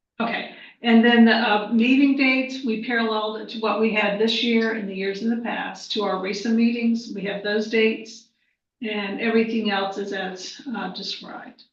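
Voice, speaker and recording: Audible room echo follows a woman speaking at a fairly high pitch. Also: fairly even intonation, moderate pace, big swings in loudness. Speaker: school superintendent. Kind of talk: board meeting report. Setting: board meeting.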